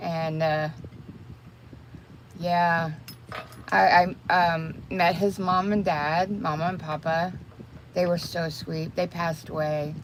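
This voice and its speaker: A woman with a Texas accent speaks at a very slow pace with a fairly low pitch. Her intonation is fairly even, and she takes long, frequent pauses. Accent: Texas Southern US. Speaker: crochet and makeup livestreamer. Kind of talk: casual livestream chat. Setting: livestream while doing makeup.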